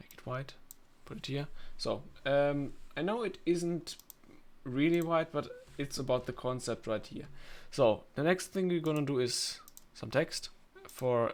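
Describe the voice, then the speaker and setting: A man's fairly high voice with a non-native accent, fairly slow, with long, frequent pauses and ordinary pitch variation. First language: not English. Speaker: video editing tutorial maker. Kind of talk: screen-recorded tutorial. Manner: halting, many fillers.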